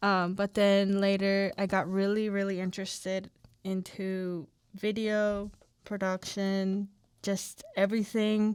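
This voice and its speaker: A woman talks with a Spanish accent at a very slow pace, in a monotone, flat way. The recording is very clean, with a silent background. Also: medium pitch for a woman. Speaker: podcast co-host, college student. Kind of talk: casual chat.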